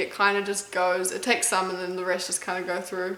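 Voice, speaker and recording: In an American accent, a woman speaks with audible room echo. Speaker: competitive eater and YouTuber. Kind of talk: casual Q&A video chat.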